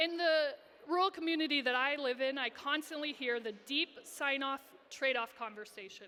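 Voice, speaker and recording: A woman speaks in a raised, projected voice with a high pitch and ordinary pitch variation. Her pace is moderate, and noticeable background noise can be heard. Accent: American. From Iowa, US Midwest. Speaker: social entrepreneur and speaker. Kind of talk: conference talk. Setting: stage with audience. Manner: animated.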